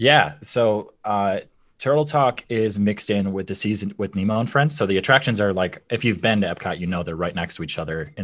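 Against a quiet background, a man with a Midwestern American accent speaks at a moderate pace and a fairly low pitch. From Michigan, US. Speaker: former theme park performer. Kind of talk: casual interview chat.

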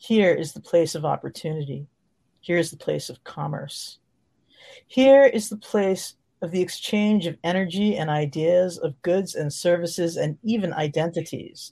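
A woman's fairly low voice is dark, mellow and somewhat breathy, with a calm, soothing tone and ordinary pitch variation. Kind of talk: guided meditation. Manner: slow, calm, soothing, measured.

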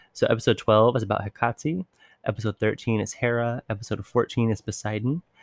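With a normal speaking voice, a man talks at a fairly low pitch and fairly quick pace with fairly even intonation, in a dry, close sound with no echo. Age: 20s. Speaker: podcast host. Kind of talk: casual monologue. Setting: home recording.

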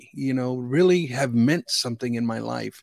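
On a very clean recording with a silent background and a dry, close sound with no echo, a man of medium pitch speaks at a moderate pace with lively intonation. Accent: American. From US Midwest, Chicago area. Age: 50s. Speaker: sports card collector. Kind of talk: casual interview chat. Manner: halting, frequent repetitions.

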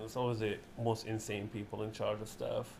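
A man talks fairly quickly, his intonation monotone and flat. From Libya, Benghazi. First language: Arabic. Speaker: comedian and writer. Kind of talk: casual chat.

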